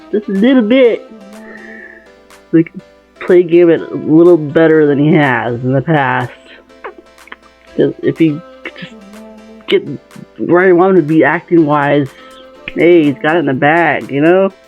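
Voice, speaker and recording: The speech is mumbled and fairly slow, broken by long, frequent pauses. Music plays in the background. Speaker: fan video maker. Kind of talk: casual talk to camera. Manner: mumbly, a bit out of it.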